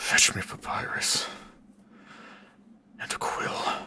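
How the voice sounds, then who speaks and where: Using a put-on character voice, a man talks at a very slow pace. The voice is raspy. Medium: solo performance. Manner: proud, solemn and vengeful.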